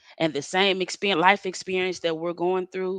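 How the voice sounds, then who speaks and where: With a Southern US accent, a woman of fairly low pitch talks at a moderate pace with fairly even intonation, in a dry, close sound with no echo against a quiet background. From Mississippi, Moss Point. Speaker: spoken word poet. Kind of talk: interview.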